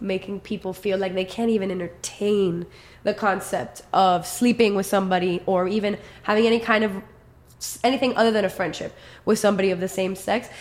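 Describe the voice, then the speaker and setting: A woman's medium-pitched voice in a flat monotone at a moderate pace. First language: Spanish. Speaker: musician. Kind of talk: casual chat.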